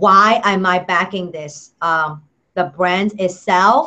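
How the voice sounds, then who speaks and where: Her tone is bright and sharp as the woman speaks at a medium pitch. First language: not English. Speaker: product reviewer. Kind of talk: product review vlog. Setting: Google Hangout video. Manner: halting, many fillers.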